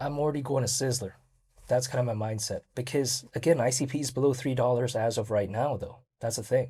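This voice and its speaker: On a very clean recording with a silent background, a man with a dark, mellow, somewhat breathy voice speaks at a medium pitch and a fairly quick pace with fairly even intonation. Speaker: crypto YouTuber. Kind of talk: solo video commentary. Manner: casual, filler-heavy.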